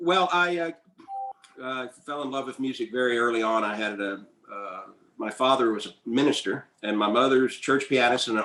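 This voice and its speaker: With a Southern US accent, a man speaks at a moderate pace. His pitch sits in the medium range. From US South, North Carolina. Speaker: composer and pianist. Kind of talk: interview conversation. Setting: video call webinar.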